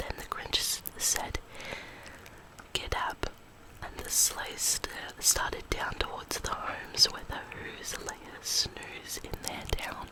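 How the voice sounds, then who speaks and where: A woman whispers at a very slow pace, with long, frequent pauses and big swings in loudness. Noticeable background noise sits behind her. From Australia. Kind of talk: ASMR bedtime story reading. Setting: close microphone. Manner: whispered.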